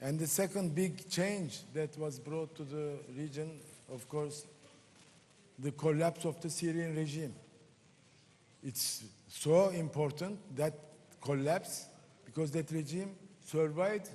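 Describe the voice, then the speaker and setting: The speech moves at a fairly slow pace with long, frequent pauses and ordinary pitch variation. The tone is dark and mellow, with a Turkish accent. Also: man. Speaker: member of parliament, panelist. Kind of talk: panel discussion.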